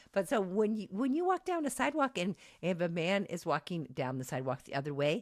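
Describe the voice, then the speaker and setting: The recording is very clean, with a silent background. A woman speaks with very wide pitch swings. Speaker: college lecturer. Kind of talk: lecture. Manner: loud; halting, many false starts.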